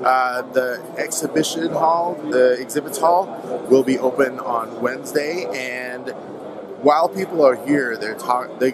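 A man at medium pitch, fairly slow, with clear background noise.

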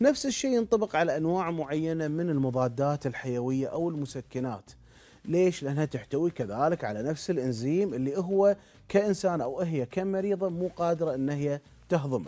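In a dark, mellow tone, a man speaks at a moderate pace with a fairly high pitch and lively intonation. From Kuwait. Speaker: internal medicine doctor; guest. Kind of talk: TV interview explaining medical topic. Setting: TV studio. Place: studio. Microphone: lapel.

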